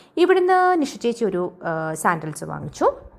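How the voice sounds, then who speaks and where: A woman's voice with very wide swings in pitch. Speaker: travel and lifestyle vlogger. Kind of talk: vlog voiceover narration.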